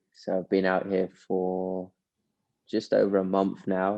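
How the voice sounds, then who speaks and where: A man with an American accent talks at a very slow pace. His pitch is fairly low. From United States. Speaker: professional golfer. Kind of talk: casual interview.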